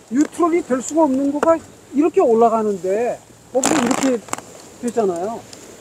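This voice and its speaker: A man with an extremely high pitch and lively intonation, fairly quick in pace, amid noticeable background noise. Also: long, frequent pauses. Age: 70s. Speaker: ski instructor. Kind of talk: lesson.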